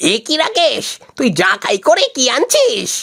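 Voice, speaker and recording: A cartoonish character voice at an extremely high pitch and a moderate pace. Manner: sly.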